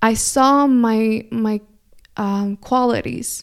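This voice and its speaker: Speaking in a Spanish accent with a warm tone and fairly even intonation, a woman is heard in a very clean recording with a silent background. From California. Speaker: spiritual astrology podcaster. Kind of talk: solo monologue, spiritual weekly forecast. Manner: warm, reflective.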